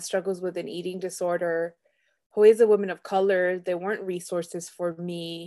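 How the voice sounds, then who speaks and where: The background is quiet. A woman speaks in a dark, mellow tone. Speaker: entrepreneur and eating disorder advocate. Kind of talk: casual interview conversation.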